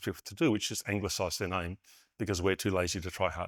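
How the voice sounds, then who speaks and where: This is a man with an Australian accent. He speaks at a fairly quick pace on a very clean recording with a silent background. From Western Australia. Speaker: conference keynote speaker, network engineer. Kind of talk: keynote talk. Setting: stage with audience. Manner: fast.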